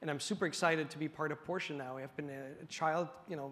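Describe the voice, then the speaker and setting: A man's fairly high voice, fairly quick pace and ordinary pitch variation. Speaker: tech business executive. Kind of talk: onstage panel discussion. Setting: stage with audience. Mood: upbeat, enthusiastic. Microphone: lapel.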